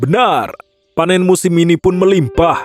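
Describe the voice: Faint music plays in the background as a man in a high-pitched, cartoonish character voice talks at a moderate pace.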